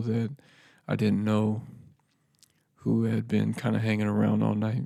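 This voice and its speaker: The speaker is soft-spoken at a moderate pace. The recording is very clean, with a silent background. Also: man. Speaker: podcast host. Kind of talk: personal reflective monologue. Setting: home podcast setup. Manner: quiet, soft-spoken; laid-back, casual with fillers.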